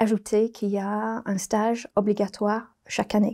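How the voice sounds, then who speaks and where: A woman with a British accent speaks at a moderate pace in a fairly high, dark and mellow voice with monotone, flat intonation. The recording is very clean with a silent background. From Britain. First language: English (speaking French). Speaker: business school program director. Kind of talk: interview. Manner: hesitant with fillers.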